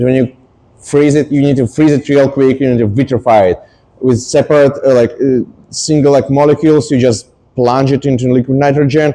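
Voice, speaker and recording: A man's dark, mellow voice at a medium pitch, monotone and flat, at a moderate pace. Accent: non-native. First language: not English. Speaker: scientist giving a public talk. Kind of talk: popular science talk. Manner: hesitant, many fillers.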